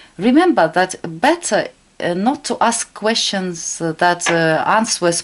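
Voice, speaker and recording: With a Russian accent, a woman talks at a very slow pace with lively intonation. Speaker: tarot reader. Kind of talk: tarot reading tutorial. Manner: halting.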